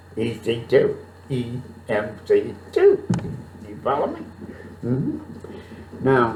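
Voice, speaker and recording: Very slow and broken by long, frequent pauses, a man's speech swings widely in loudness over noticeable background noise. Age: 70s. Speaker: podcast host, comedian. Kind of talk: casual talk to camera. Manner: rambling, hesitant.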